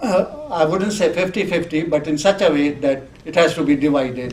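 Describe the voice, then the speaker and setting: A man speaks fairly slowly with a Sindhi accent. Noticeable background noise runs underneath. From Sindh, British India. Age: 70s. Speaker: community elder. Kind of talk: interview.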